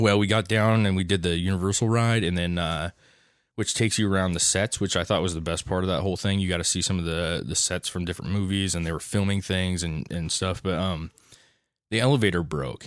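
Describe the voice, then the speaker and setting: At a fairly quick pace, a man talks with a very deep, low pitch. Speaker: podcast host. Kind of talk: casual chat.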